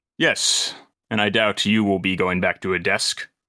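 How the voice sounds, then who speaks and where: Using a put-on character voice, a man speaks at a moderate pace in a fairly low pitch. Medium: actual play. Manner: calm, measured.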